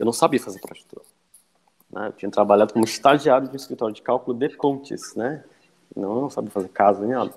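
Speaking at a very fast pace, a man with a medium pitch uses ordinary pitch variation and big swings in loudness. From Ceará east coast, Brazil (Cascavel). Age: 20s. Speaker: structural engineer and university lecturer. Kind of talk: podcast interview.

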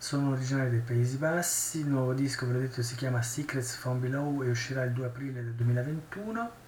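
Amid noticeable background noise and audible room echo, a man talks at a fairly quick pace with hardly any pauses and fairly even intonation. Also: medium pitch for a man. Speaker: podcast host. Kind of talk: solo news podcast. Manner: casual, thinking aloud.

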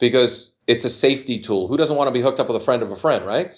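This man talks at a medium pitch in a normal speaking voice. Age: 50s. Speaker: dating coach. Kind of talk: casual chat.

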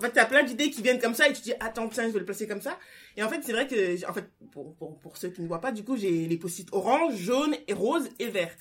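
Using a plain, everyday voice, a woman speaks fairly high with lively intonation and big swings in loudness. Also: fairly quick pace. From France. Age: 20s. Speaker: guest reader. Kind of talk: casual book discussion.

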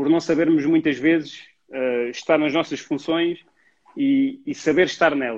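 A man with a plain, everyday voice, fairly high in pitch, with fairly even intonation at a moderate pace. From Portugal, Alentejo (Mértola). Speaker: youth football coach. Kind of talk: casual interview. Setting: Instagram live.

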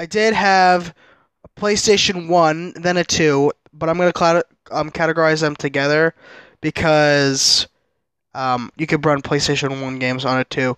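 Against a quiet background, the speech comes at a fairly slow pace with long, frequent pauses. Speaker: streamer and podcast host. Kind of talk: solo casual monologue. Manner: halting, many fillers; loud at times.

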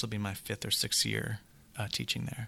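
A man talks with fairly even intonation. It is an ordinary speaking voice, fairly low in pitch. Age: 40s. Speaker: hedge fund manager and author. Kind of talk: casual interview conversation.

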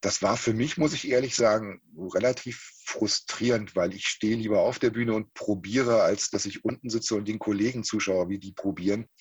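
The voice is somewhat breathy, with fairly even intonation. It moves at a moderate pace with hardly any pauses. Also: man, medium pitch for a man. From eastern Germany, Halle an der Saale. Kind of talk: interview.

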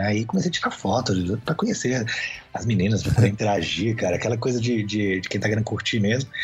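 A man at medium pitch with ordinary pitch variation, talking at a very fast pace amid noticeable background noise. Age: 40s. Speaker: photographer and businessman. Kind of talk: interview. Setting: video call.

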